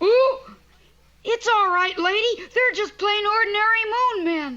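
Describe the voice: This cartoonish character voice is pitched extremely high. It moves at a fairly slow pace.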